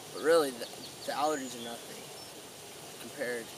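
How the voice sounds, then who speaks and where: Noticeable background noise runs behind a man's voice. The sound is dry, with no echo. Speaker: speaker. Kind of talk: mock-solemn eulogy monologue. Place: waterside. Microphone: camera far.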